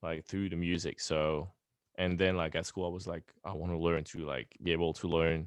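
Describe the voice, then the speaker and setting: Speaking with a French accent, a man has a very deep, low pitch and fairly even intonation. His pace is moderate, over a quiet background. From France. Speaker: pop punk band member. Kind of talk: interview. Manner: halting.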